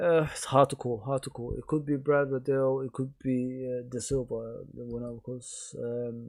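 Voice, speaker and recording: The voice has a dark, mellow tone. It is quiet. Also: man. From England. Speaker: live streamer and sports commentator. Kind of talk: live commentary. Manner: quiet, low-key.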